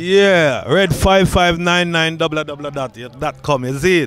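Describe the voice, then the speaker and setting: A man speaks in an animated tone with ordinary pitch variation. The sound is dry with no echo, and faint music plays in the background. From Jamaica. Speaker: dancer and musician; interviewee. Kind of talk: promotional interview. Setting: outdoors. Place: street. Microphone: handheld.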